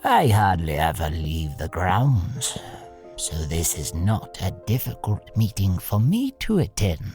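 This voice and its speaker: Clear music plays behind a low-pitched, put-on character voice. The pace is fairly slow. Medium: audio drama. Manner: dry, formal, precise.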